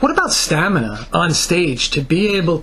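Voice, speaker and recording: Over noticeable background noise, a man with a New Jersey accent speaks in a high pitch with lively intonation. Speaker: music interviewer. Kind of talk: interview.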